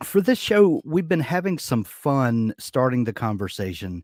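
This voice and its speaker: A man in a Southern US accent swings very widely in pitch, his voice dry and close with no echo on a very clean recording with a silent background. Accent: American Southern drawl. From US South. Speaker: podcast host. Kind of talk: interview. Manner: halting, repeats words.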